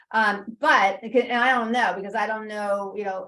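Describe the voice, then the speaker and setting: A woman speaks at a moderate pace in a fairly high pitch, her intonation fairly even. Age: 60s. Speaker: registered dietitian nutritionist. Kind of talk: webinar Q&A. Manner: halting, many fillers.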